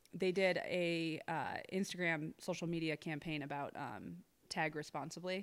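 In a slight Midwestern US accent, a woman with a fairly low pitch talks at a fairly slow pace with fairly even intonation on a very clean recording with a silent background. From Ohio. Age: 30s. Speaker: social media influencer and real estate broker. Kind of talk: casual interview chat.

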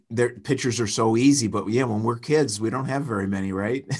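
A man in a plain, everyday voice talks at a moderate pace, with a medium pitch and ordinary pitch variation. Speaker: painting business owner and public speaker. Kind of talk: casual chat. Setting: call.

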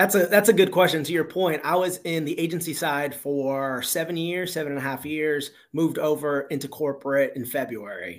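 Someone with an American accent speaks with hardly any pauses on a very clean recording with a silent background. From Miami, Florida. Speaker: recruiter. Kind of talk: casual interview.

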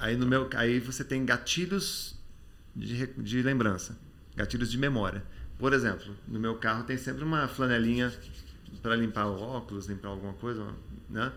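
Audible room echo surrounds a man speaking at medium pitch with ordinary pitch variation. He keeps a moderate pace, with long, frequent pauses. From Brazil, Campinas then Rio de Janeiro. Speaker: memory expert and author. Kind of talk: casual interview chat.

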